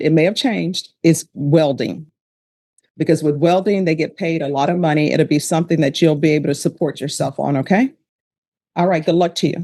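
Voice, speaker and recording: The speaker talks at a fairly quick pace in a Louisiana accent. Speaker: judge. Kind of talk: formal legal. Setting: courtroom.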